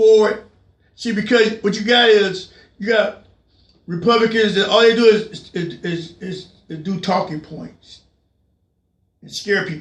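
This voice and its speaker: Shouting at a fairly slow pace, a man with a high voice keeps his intonation fairly even, pausing long and often while his loudness swings widely. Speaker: political commentary show host. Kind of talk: political rant. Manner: loud, yelling; repetitive, stammering restarts.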